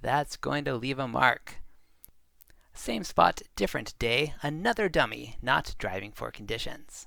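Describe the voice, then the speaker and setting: In a medium pitch with vocal fry, a man talks at a fairly slow pace. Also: very clean recording, silent background. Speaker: traffic video narrator. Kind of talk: wry documentary narration.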